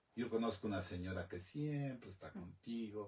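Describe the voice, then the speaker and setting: Fairly low in pitch and somewhat breathy, a man speaks fairly slowly in a dark, mellow tone with ordinary pitch variation. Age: 60s. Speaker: talk show host. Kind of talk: interview.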